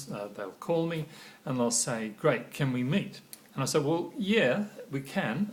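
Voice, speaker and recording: A man's fairly slow, somewhat breathy delivery carries lively intonation. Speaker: corporate trainer. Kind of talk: training talk to camera. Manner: halting, frequent pauses and fillers.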